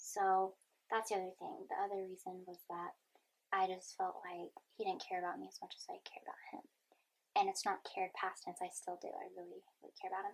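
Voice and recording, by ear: Speaking fairly quickly, a woman with a medium pitch shows little pitch movement, vocal fry and a slightly husky edge.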